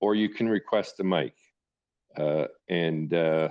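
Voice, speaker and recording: In a Canadian accent, a man talks very slowly at a very deep, low pitch with fairly even intonation against a quiet background. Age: 60s. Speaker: live audio space host. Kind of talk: hosting an online audio discussion. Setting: online audio room. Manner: halting, many fillers.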